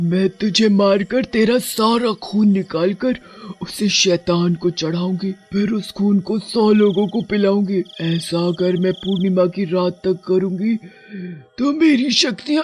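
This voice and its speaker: A man does a put-on character voice at a high pitch and a fairly slow pace. Music plays in the background. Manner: menacing.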